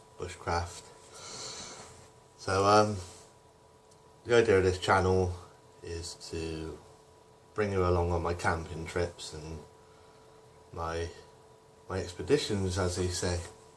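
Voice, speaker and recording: In a strong Bristol accent, a man with a very deep, low pitch speaks at a very slow pace in a monotone, flat intonation, leaving long, frequent pauses amid noticeable background noise and audible room echo. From Bristol, south-west England. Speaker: camping and bushcraft vlogger. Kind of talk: gear rundown vlog. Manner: hesitant, many fillers.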